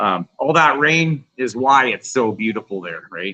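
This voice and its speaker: With a western Canadian accent, a man speaks at medium pitch and a moderate pace. His tone is bright and sharp, his intonation lively. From Canada, Vancouver Island. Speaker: punk rock guitarist. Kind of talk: casual chat.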